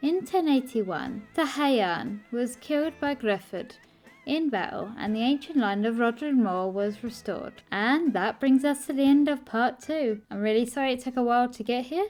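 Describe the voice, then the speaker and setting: With a high pitch and lively intonation, a woman talks in an Essex accent with hardly any pauses while music plays in the background. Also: moderate pace. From Essex, England. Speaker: history YouTuber. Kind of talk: scripted narration.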